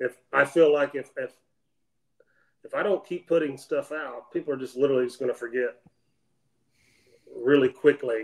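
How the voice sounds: A man speaks at a medium pitch and a moderate pace. His intonation is fairly even, broken by long, frequent pauses.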